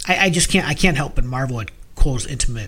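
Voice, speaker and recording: Man's fairly high voice, an ordinary speaking voice, with lively intonation at a moderate pace. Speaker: podcast co-host. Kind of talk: casual discussion of music.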